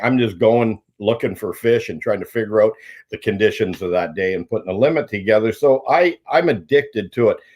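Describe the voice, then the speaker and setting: A man with a Canadian accent talks at a fairly quick pace and medium pitch in an ordinary speaking voice. The recording is very clean, with a silent background. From southwestern Ontario, Canada. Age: 60s. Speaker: pro angler. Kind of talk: podcast interview.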